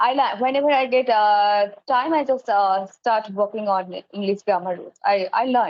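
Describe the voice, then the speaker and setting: Speaking with a Bengali accent, a woman uses a fairly high pitch and lively intonation. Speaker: English teacher. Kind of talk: casual chat. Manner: hesitant, many fillers.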